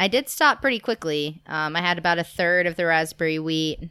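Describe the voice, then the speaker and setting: Speaking at a fairly quick pace, a woman uses a very deep, low pitch with ordinary pitch variation. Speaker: podcast co-host, farmer. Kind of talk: casual chat. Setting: home recording with drinks.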